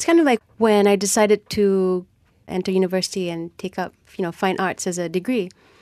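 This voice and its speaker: A woman's fairly quick speech in a Malaysian accent, dark and mellow in tone with fairly even intonation, dry and close with no echo, over a quiet background. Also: medium pitch for a woman. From Penang, Malaysia. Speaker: politician and musician. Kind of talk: radio interview.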